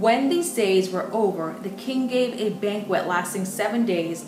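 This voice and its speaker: Clear music plays in the background while a woman speaks. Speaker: bible teacher. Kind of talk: sermon. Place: home room.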